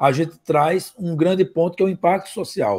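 Against a quiet background, a man speaks at a fairly high pitch and moderate pace with ordinary pitch variation. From Rio de Janeiro, Brazil. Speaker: marketing consultant and startup mentor; guest. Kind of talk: interview.

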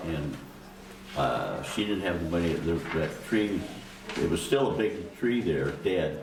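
Speaking fairly slowly with lively intonation, a man with an American accent is heard over noticeable background noise and audible room echo. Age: 80s+. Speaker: public commenter at city council meeting. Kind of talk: public comment testimony. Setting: city council meeting. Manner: halting.

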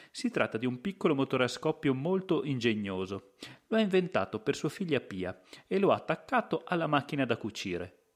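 On a very clean recording with a silent background, a man with a fairly high pitch speaks at a moderate pace, his pitch swinging very widely. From Italy, Verona province (Lessinia). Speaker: podcast host and storyteller. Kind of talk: scripted narration.

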